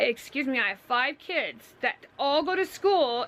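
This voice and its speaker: Against noticeable background noise, a woman speaks loudly at a fairly slow pace with very wide pitch swings. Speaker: vlogger. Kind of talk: casual chat.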